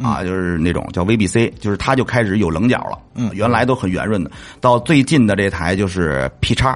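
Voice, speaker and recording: This man has a fairly low pitch. His voice swings very widely in pitch. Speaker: motorcycle vlogger and restaurant owner. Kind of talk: casual chat. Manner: fast.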